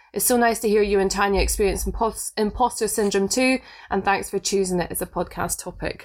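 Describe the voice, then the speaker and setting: On a very clean recording with a silent background, a woman of medium pitch speaks at a fairly quick pace with a Scottish accent and fairly even intonation. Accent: Scottish, smoother than Inverness. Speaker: podcast co-host. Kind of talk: casual chat. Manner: laughs a lot, chatty.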